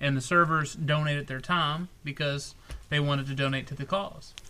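Fairly even intonation and a moderate pace in an unremarkable speaking voice. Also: man. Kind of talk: casual chat.

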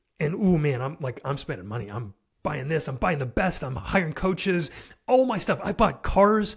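A man with a fairly high pitch and vocal fry at a moderate pace, with very wide pitch swings. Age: 30s. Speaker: entrepreneur and fatherhood podcaster. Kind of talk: casual interview.

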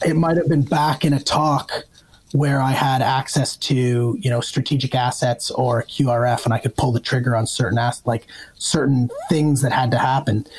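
Noticeable background noise sits under a man with a Canadian accent. He talks at a moderate pace, his loudness very even and his intonation fairly even. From Ontario, Canada (north of Toronto). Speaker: retired army officer turned investor. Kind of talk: casual interview conversation.

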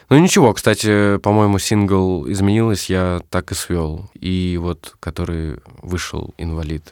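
The recording is very clean with a silent background. A man speaks very slowly in a very deep, low pitch with ordinary pitch variation. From Russia, Moscow region (Zhukovsky). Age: 20s. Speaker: musician and music producer. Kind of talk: casual interview chat.

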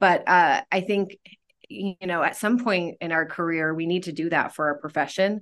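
A woman with an American accent, an unremarkable speaking voice, fairly low pitch, ordinary pitch variation and a moderate pace. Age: 30s. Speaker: school counselor. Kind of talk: casual interview. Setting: studio.

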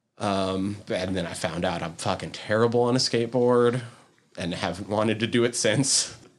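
Speaking at a moderate pace, a man uses an unremarkable speaking voice with a fairly low pitch and ordinary pitch variation. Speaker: podcast host. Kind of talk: casual chat.

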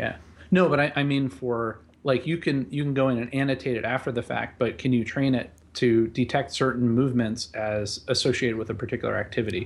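This man talks at a fairly quick pace with a medium pitch, ordinary pitch variation, and a normal speaking voice. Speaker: podcast co-host. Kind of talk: casual chat.

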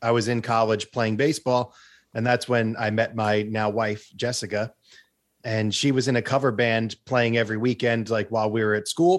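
A man with an American accent and a plain, everyday voice, medium in pitch, at a moderate pace with fairly even intonation and very even loudness. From US Northeast, Long Island, New York. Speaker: guitarist and online video creator. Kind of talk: casual interview. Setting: video call.

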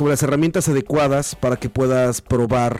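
Over music in the background, a man with a medium pitch speaks at a fairly quick pace. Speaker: video game commentator. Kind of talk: casual chat.

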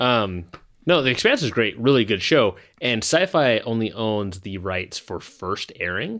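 On a very clean recording with a silent background, a man with an ordinary speaking voice talks at a fairly slow pace, his medium pitch carried by lively intonation. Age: 30s. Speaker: podcast host. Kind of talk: casual chat.

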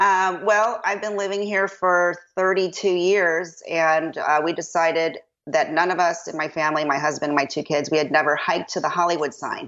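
A woman with a slight Chicago accent, fairly low-pitched, at a moderate pace with hardly any pauses and fairly even intonation. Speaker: dentist. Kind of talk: casual chat.

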